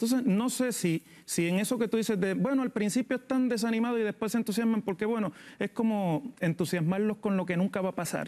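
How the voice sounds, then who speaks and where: A man's high, fairly quick voice, dark and mellow in tone, at very even loudness. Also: ordinary pitch variation. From Puerto Rico. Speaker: political analyst. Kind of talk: TV panel discussion; political discussion commentary. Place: studio. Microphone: lapel.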